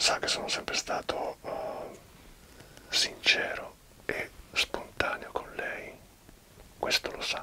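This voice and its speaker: A man whispers. He speaks at a very slow pace. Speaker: interviewer or host addressing a guest. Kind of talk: conversational interview talk in Italian. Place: home room. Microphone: webcam.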